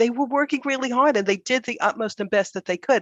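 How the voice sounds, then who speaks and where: Someone with an American accent speaks at a fairly quick pace against a quiet background. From United States. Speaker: business consultant. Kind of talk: panel discussion.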